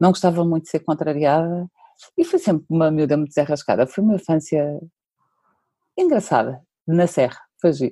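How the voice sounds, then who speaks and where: Speaking at a fairly quick pace with long, frequent pauses, a woman with a fairly low pitch and a dark, mellow tone keeps very even loudness and ordinary pitch variation. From central Portugal (Pombal). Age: 40s. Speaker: digital marketing specialist. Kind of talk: interview conversation.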